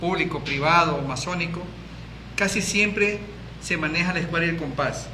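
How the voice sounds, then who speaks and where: Over noticeable background noise and audible room echo, a man with a fairly high pitch talks with fairly even intonation. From Ecuador. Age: 60s. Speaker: Freemason, former military. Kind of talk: interview. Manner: halting.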